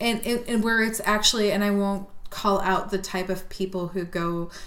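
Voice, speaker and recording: Over noticeable background noise, a woman talks at a moderate pace and medium pitch with fairly even intonation. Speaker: podcast co-host. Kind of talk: casual chat, drinking and telling ghost stories.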